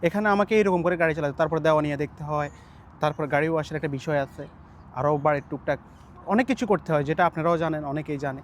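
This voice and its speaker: An ordinary speaking voice from a man, fairly high in pitch, with ordinary pitch variation. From Bangladesh, Noakhali. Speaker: migrant house driver. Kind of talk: interview.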